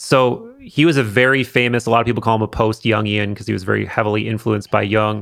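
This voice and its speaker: At a fairly quick pace, a man with a plain, everyday voice speaks at a medium pitch with fairly even intonation, in a very clean recording over a silent background. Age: 30s. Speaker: podcast host and video creator. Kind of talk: casual chat. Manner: casual, conversational.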